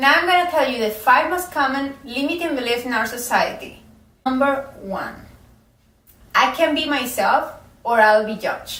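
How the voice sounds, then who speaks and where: A woman's high-pitched voice with a non-native accent, moderate pace, ordinary pitch variation and audible room echo. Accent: foreign. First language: not English. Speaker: self-help coach. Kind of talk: motivational talk to camera.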